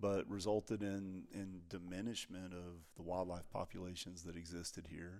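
In a Texan accent, a man with a very deep, low pitch talks in a monotone, flat way with hardly any pauses. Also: moderate pace. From Texas. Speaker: ranch research scientist. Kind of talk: casual interview.

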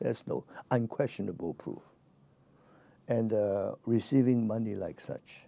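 In a Chinese accent, a man speaks at a fairly slow pace with a dark, mellow tone. His pitch sits in the medium range with ordinary variation. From China. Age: 70s. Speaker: exiled democracy activist and businessman. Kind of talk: interview.

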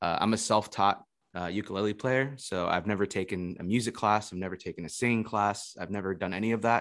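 Very fast and fairly low-pitched, a man talks with an American accent and fairly even intonation on a very clean recording with a silent background. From Florida. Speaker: ukulele musician and online teacher. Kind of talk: casual interview chat.

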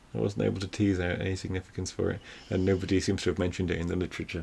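Very deep and low in pitch, a man rattles along at a very fast pace with vocal fry. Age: 30s. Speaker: film podcast co-host. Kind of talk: casual chat.

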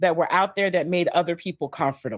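On a very clean recording with a silent background, the voice shows ordinary pitch variation. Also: woman. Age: 50s. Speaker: life coach. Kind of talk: interview. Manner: animated.

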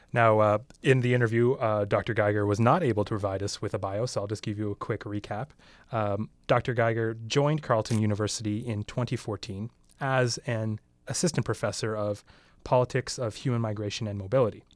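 An unremarkable speaking voice from a man with a Canadian accent, medium pitch, fairly even intonation and a fairly quick pace, on a very clean recording with a silent background. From Canada. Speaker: podcast co-host. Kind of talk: roundtable discussion. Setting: radio studio.

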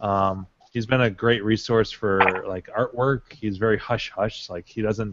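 At a moderate pace, a man speaks in a normal speaking voice with ordinary pitch variation. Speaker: arcade collector, panel regular. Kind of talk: casual chat.

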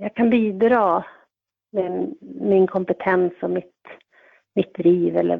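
Speaking at a very slow pace, a woman keeps her voice at a medium pitch. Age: 40s. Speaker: volunteer defence organisation member. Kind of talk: interview. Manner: halting, many fillers.

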